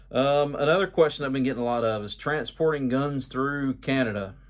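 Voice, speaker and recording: A medium-pitched man with an American accent. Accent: Georgia hillbilly. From Georgia, US South. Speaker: YouTuber, travel info vlogger. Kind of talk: casual video update. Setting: at home. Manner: casual, with many filler words.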